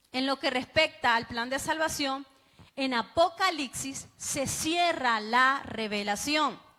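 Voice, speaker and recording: A raised, projected voice moves at a very slow pace with ordinary pitch variation. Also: woman, high pitch for a woman. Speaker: bible teacher. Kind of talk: sermon-style bible class.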